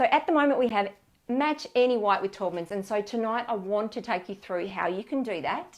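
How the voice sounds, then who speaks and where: A woman with an Australian accent, fairly high-pitched, lively in intonation and fairly quick in pace, over a quiet background. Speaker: paint colour specialist; colour consultant host. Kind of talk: live online product advice session. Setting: live stream on camera. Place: studio. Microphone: lapel.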